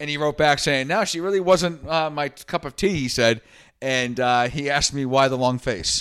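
A man with an American accent speaks in a normal speaking voice at a moderate pace, his pitch fairly high with ordinary variation, on a very clean recording with a silent background. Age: 30s. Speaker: podcast host. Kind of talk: casual chat.

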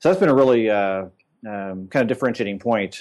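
A man speaks in a normal speaking voice with an American accent, at a fairly low pitch and a fairly quick pace. His intonation is fairly even, and the background is quiet. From Indiana, US Midwest. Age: 40s. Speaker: agency president and CEO. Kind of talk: casual interview.

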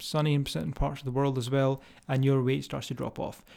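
A man's dark, mellow tone at a medium pitch and a fairly quick pace, on a very clean recording with a silent background. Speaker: fitness coach and podcast host. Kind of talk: solo podcast monologue. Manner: rambling, filler-heavy; animated, emphatic.

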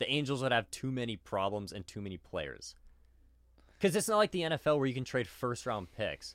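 A man's medium-pitched, animated voice with very wide pitch swings and a fairly quick pace, on a very clean recording with a silent background. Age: 20s. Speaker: sports podcast co-host. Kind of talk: casual chat.

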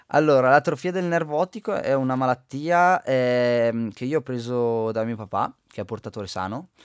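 In a very clean recording with a silent background and a dry, close sound with no echo, a man with an ordinary speaking voice talks at a moderate pace with lively intonation. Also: medium pitch for a man. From Val di Fiemme, Trentino, northern Italy. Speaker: Paralympic alpine skier. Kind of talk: radio interview. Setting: radio studio.

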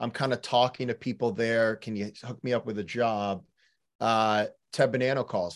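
A man with an American accent speaks at a moderate pace in an ordinary speaking voice, medium in pitch, with fairly even intonation. The recording is very clean, with a silent background. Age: 30s. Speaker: rowing coach. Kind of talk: casual chat.

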